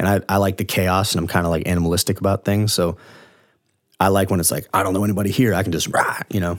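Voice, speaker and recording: A man with an American accent speaks at a very fast pace in a very deep, low voice. His intonation stays monotone and flat. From Florida, Largo. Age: 20s. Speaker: musician. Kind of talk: casual chat.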